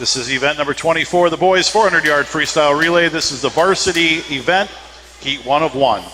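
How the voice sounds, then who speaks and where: A man with an American accent, fairly high pitch and ordinary pitch variation, at a fairly quick pace over noticeable background noise. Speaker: sports announcer. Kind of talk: live commentary.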